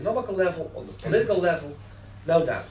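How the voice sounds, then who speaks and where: A man with a Dutch accent speaks very fast in a high voice. Audible room echo and noticeable background noise fill the recording. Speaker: newspaper editor. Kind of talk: panel debate.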